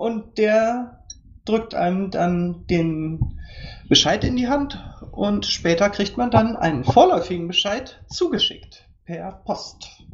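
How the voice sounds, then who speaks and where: Very slowly, a somewhat breathy woman at a medium pitch speaks with lively intonation. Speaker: podcast guest. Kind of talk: interview.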